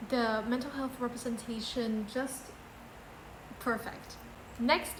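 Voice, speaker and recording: A woman with a non-native accent, high pitch and monotone, flat intonation at a very slow pace, amid noticeable background noise and audible room echo. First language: not English. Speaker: book vlogger. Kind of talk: casual book ranking video.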